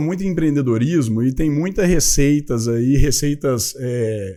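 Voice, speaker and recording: A man with a Minas Gerais accent, fairly slow in pace, dark and mellow in tone, with ordinary pitch variation. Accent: Minas Gerais accent, still noticeable. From Minas Gerais, Brazil. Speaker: company founder, entrepreneur. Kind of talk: podcast interview. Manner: casual, with fillers.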